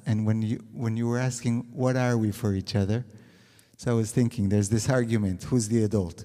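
Medium-pitched male voice with fairly even intonation over music in the background. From Israel. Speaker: couples counselor. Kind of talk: panel discussion. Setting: stage with audience.

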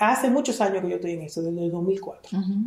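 The voice has a dark, mellow tone and ordinary pitch variation. Room echo is audible. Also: woman. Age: 50s. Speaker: dentist and entrepreneur mentor. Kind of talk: interview conversation.

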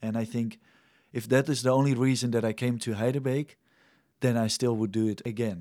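A man with a Dutch accent speaks at a moderate pace and medium pitch, his intonation fairly even, on a very clean recording with a silent background. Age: 20s. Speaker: mission trainee and young leader. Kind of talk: interview.

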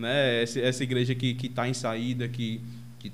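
This man's voice sits at a medium pitch as he talks at a moderate pace. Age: 20s. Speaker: podcast host. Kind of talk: casual chat. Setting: video call. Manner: halting.

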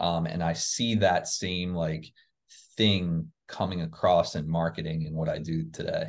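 A man with an American accent speaks in a very deep, low voice with fairly even intonation. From New Jersey near Philadelphia. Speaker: email marketing agency CEO. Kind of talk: interview.

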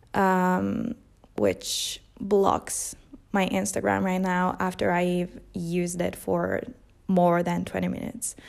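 The recording is very clean, with a silent background. A woman speaks at a very slow pace. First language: Italian. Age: 20s. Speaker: podcast host. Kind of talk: casual monologue. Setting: home, no mic, background noise.

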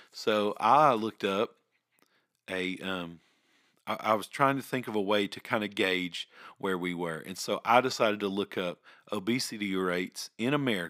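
A bright, sharp tone with a Southern US accent, moderate pace and ordinary pitch variation, in a dry, close sound with no echo. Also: man, fairly low pitch for a man. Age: 30s. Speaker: podcast host. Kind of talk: personal monologue. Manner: halting.

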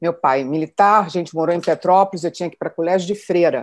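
A woman's voice, fairly low in pitch. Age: 60s. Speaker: retired executive. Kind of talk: personal testimony.

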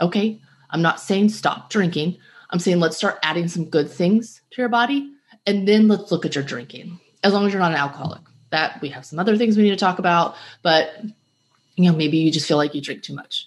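Her voice is fairly low for a woman and a plain, everyday voice. She talks at a fairly quick pace with ordinary pitch variation. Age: 40s. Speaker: podcast host and health coach. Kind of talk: solo podcast talk. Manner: casual with fillers.

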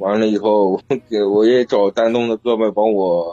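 The sound is dry and close with no echo as a man speaks in a dark, mellow tone. His fairly low voice stays monotone and flat. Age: 20s. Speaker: caller to a relationship advice live stream. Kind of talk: call-in advice conversation. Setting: phone call into a live stream.

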